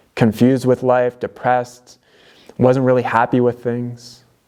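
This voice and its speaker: A man speaks at a fairly slow pace with a medium pitch. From Canada, London, Ontario. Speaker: DIY video creator. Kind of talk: motivational personal talk to camera. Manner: casual, with many fillers.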